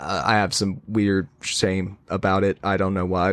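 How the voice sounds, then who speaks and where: A man with a Southern US accent at a moderate pace, on a very clean recording with a silent background. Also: dry, close sound with no echo. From US South. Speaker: podcast guest, gamer. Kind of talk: casual interview chat.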